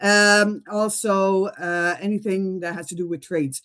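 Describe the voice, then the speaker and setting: A woman speaks with a French accent. Her pitch sits in the middle range. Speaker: school principal. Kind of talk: presentation. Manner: halting.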